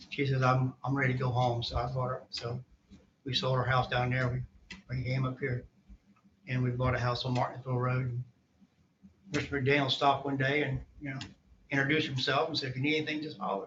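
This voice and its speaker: A very fast Southern US accent in a monotone, flat intonation, with long, frequent pauses. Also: man, medium pitch for a man. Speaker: court witness, army veteran. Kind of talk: court testimony. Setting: courtroom. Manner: halting.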